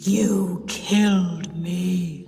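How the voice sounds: A female-sounding put-on character voice sits at a medium pitch. There is a clear echo and clear background noise.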